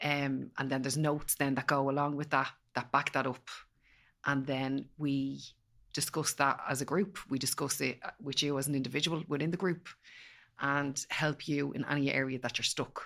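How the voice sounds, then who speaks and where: A woman's very deep, low voice in an Irish accent, monotone and flat, at a moderate pace, on a very clean recording with a silent background. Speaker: empowerment coach. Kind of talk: casual chat.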